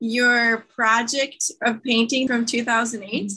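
Bright and sharp in tone, a woman speaks in a high voice with an enthusiastic tone. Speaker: podcast host. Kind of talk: interview.

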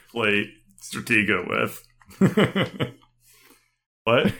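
Very slowly and with long, frequent pauses, a man speaks with vocal fry. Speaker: gaming podcast host. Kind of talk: casual chat.

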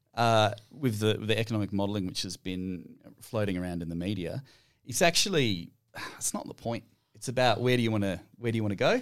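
Speaking fairly quickly in an Australian accent, a man uses a fairly low pitch with ordinary pitch variation. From Western Australia. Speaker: climate policy researcher. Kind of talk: casual chat.

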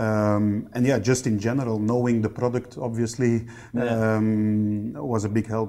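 A man with a Dutch accent talks at a fairly slow pace in a medium pitch with a dark, mellow tone. His intonation is monotone and flat, and his loudness stays very even. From Belgium (East Flanders). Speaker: factory general manager. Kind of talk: interview.

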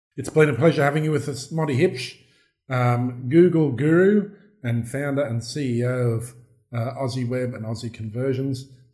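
A man's medium-pitched, dark, mellow, somewhat breathy voice with a strong Australian accent, ordinary pitch variation and a moderate pace. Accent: broad Australian. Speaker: podcast host. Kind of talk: interview.

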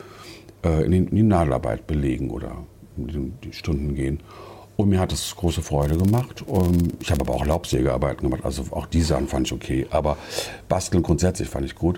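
A man speaks with a very deep, low voice. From Germany, Wiesbaden (Hesse). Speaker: yarn shop owner. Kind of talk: interview. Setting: in a shop.

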